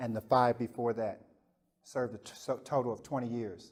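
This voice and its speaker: Pausing long and often, a man at medium pitch keeps fairly even intonation while his loudness swings widely. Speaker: motivational speaker, former prisoner. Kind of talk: talk to prison inmates. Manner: soft-spoken.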